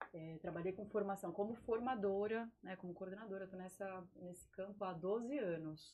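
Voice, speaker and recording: Medium pitch from a woman, with fairly even intonation, a moderate pace, hardly any pauses and noticeable background noise. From Vale do Paraíba, São Paulo state, Brazil. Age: 30s. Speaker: biologist and environmental project manager. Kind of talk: casual interview chat.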